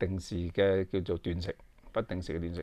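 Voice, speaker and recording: With a very deep, low pitch, this man talks at a moderate pace. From Hong Kong. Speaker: YouTube commentator. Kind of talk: casual monologue to camera. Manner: halting, many fillers. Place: home room. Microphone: phone near.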